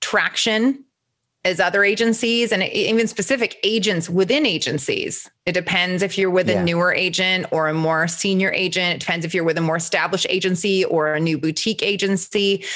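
A woman talks at a moderate pace with a medium pitch and ordinary pitch variation. Hers is an unremarkable speaking voice, and its loudness stays very even. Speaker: talent agent podcast host. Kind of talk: casual chat.

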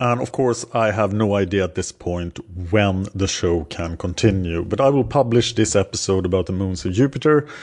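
With a Swedish accent, a man talks at a moderate pace in a fairly low pitch with ordinary pitch variation. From Sweden. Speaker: podcast host. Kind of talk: educational monologue about astronomy. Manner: halting with filler words.

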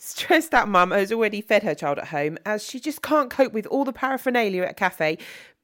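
Someone reads in a natural voice, and the intonation stays lively throughout.

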